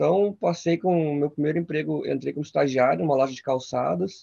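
At a moderate pace, a man talks with a fairly high pitch and a dark, mellow tone. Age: 30s. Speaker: physical education intern and small business owner. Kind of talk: casual interview chat.

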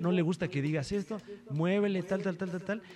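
A man with a high-pitched voice talks at a fairly quick pace over noticeable background noise. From Mexico. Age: 30s. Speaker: stand-up comedian. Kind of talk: casual chat. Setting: hotel room.

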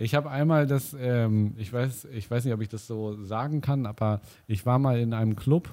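On a very clean recording with a silent background, a man speaks at a fairly slow pace with a medium pitch, ordinary pitch variation and a dark, mellow tone. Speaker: podcast co-host. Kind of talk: casual chat.

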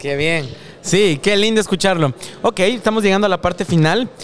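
A man talks with ordinary pitch variation at a moderate pace. Noticeable background noise is present. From Ecuador. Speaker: podcast host. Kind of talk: interview, casual chat. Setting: event in Silicon Valley.

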